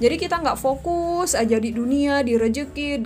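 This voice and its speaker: A woman talks at a fairly quick pace with audible room echo. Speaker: YouTuber, online seller. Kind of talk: podcast monologue, religious advice. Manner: loud; animated.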